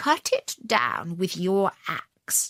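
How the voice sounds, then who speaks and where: A woman uses a put-on character voice at a medium pitch. The sound is dry and close, with no echo. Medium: read story. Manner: humble, pleading.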